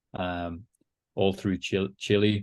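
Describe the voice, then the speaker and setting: A man with an English accent, very deep and low in pitch, in a monotone, flat delivery. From England, Liverpool. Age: 40s. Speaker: company CEO, former military pilot trainee. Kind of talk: podcast interview.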